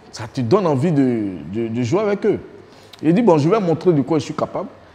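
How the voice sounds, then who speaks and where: Very wide pitch swings run through this man's speech. He talks at a fairly slow pace. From Côte d'Ivoire, Abidjan (Adjamé). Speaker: former footballer. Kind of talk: documentary interview. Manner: casual, colloquial. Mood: warm, amused storytelling. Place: home room. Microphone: lapel.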